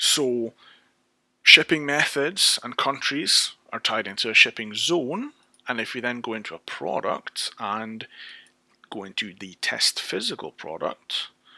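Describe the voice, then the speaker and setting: A man with a British accent, at a fairly slow pace, with big swings in loudness and a dry, close sound with no echo. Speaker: software developer. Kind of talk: tutorial. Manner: casual, with frequent fillers and restarts.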